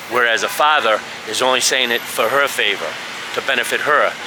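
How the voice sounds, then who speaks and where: Over noticeable background noise, a man with a strong Boston accent talks at a medium pitch with fairly even intonation. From US Northeast, Boston. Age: old. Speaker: expat vlogger. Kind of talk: casual vlog monologue. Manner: casual, halting with fillers.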